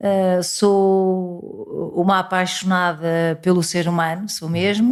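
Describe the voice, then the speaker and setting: A woman with a fairly low pitch speaks in a monotone, flat intonation on a very clean recording with a silent background. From Portugal. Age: 60s. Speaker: parishioner and pro-life volunteer. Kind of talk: interview testimony.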